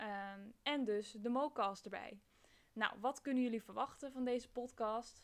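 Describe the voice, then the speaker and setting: A woman speaks fairly slowly in a fairly high pitch, with intonation that stays fairly even. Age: 20s. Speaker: podcast host, university student. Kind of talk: podcast trailer monologue. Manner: hesitant, many filler sounds.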